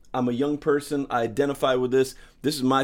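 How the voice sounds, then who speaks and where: With an American accent, a man talks at a medium pitch and a moderate pace. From St. Louis, Missouri. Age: middle-aged. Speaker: stand-up comedian and comedy show producer. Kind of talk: casual chat. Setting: in his home.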